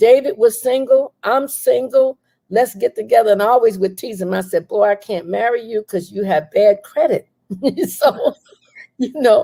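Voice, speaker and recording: A woman with an American accent talks at a moderate pace in a fairly high voice with ordinary pitch variation, her tone dark and mellow, the sound dry and close with no echo. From New York. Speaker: author. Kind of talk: casual interview chat.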